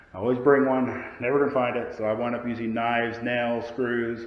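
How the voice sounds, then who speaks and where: Noticeable background noise and audible room echo surround the recording. A man speaks at a medium pitch and a fairly quick pace. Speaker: DIY carpenter. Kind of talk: tutorial. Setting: indoors, upstairs room of house.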